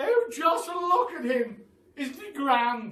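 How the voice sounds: In a put-on character voice, a man speaks slowly at an extremely high pitch, his tone bright and sharp, with big pitch swings and audible room echo.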